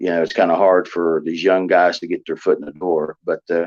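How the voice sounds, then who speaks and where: Recorded with a dry, close sound and no echo, a man with a West Virginia accent speaks in a very deep, low pitch. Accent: Southern drawl, West Virginia. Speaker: professional wrestler and actor. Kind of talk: interview. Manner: halting, many fillers.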